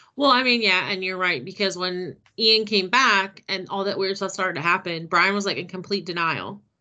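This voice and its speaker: At a moderate pace and with hardly any pauses, a woman speaks in a normal speaking voice of medium pitch and ordinary pitch variation. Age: 30s. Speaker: book podcast co-host. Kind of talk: casual chat.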